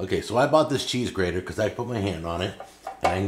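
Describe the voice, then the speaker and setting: A man's fairly low voice comes through amid noticeable background noise. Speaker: cooking show host. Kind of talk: product demonstration. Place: kitchen.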